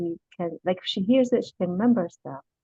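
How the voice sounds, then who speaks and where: A woman speaks with an Arabic accent and a lively intonation. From Iraq. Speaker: Arabic teacher, language student. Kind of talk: class introduction.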